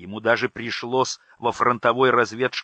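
What you hear is plain reading aloud.

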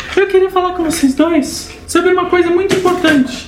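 A squeaky, put-on character voice rattles along at a fairly quick pace. A slight echo surrounds it. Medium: actual play. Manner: soft-spoken.

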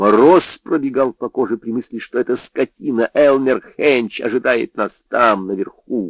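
It is an unforced reading voice. Nothing else is heard in the quiet background.

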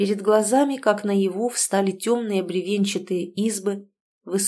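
The intonation stays fairly even in an unforced reading voice. Nothing much stirs behind it.

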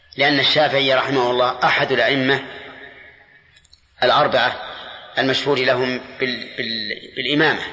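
Speaking fast with a bright, sharp tone, a man holds a medium pitch and fairly even intonation amid audible room echo.

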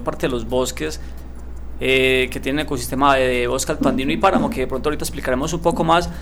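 Speaking at a very fast pace, a man is heard with audible room echo. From Colombia, Andes (Antioquia). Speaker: conservationist. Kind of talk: radio interview.

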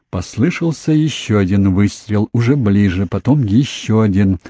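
The speaker has an unforced reading voice. The lines are read out.

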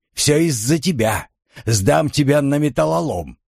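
A man puts on a shrill character voice at medium pitch and a moderate pace. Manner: furious, threatening.

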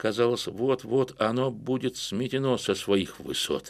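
Intonation stays fairly even in this unforced reading voice.

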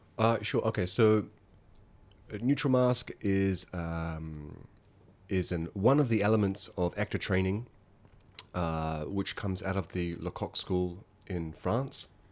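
In a New Zealand accent, a man speaks very slowly in a very deep, low voice with ordinary pitch variation. He leaves long, frequent pauses, on a very clean recording with a silent background. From New Zealand, small town in the Wairarapa. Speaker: theatre teacher and mask trainer. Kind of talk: interview. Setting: home studio in an apartment.

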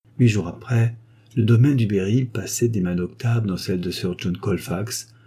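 The clip offers a natural reading voice, and its pitch moves with ordinary variation.

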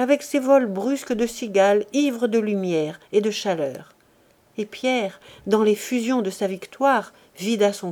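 An unforced reading voice moves through ordinary pitch variation here.

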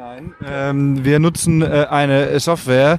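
A man with a fairly high voice drags his words out at a very slow pace. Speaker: podcast host. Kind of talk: casual chat.

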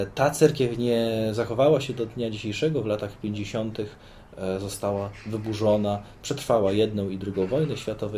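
A man's fairly low, dark and mellow voice, somewhat breathy, with ordinary pitch variation at a moderate pace. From Poland, Sosnowiec (Zagłębie Dąbrowskie). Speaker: Orthodox priest. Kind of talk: interview. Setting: outdoors on a veranda.

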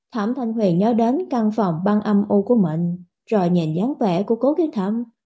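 Quiet surroundings and an unforced reading voice

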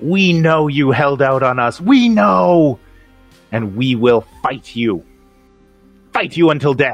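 Someone shouts in a put-on character voice at a fairly slow pace with long, frequent pauses, while faint music plays in the background. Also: man, medium pitch for a man. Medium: actual play. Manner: hostile, shouting, clicking.

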